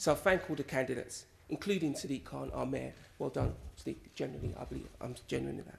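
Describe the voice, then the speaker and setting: Very fast and marked by big swings in loudness, a man's voice comes through over light background noise. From West London, England. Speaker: politician, election candidate. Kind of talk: concession speech. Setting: stage in a hall with audience. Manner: formal. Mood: gracious, upbeat. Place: hall. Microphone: podium.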